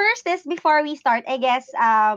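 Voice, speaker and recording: A woman speaks with lively intonation in a dry, close sound with no echo. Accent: Filipino. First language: Tagalog. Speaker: podcast host. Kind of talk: casual interview. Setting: video call.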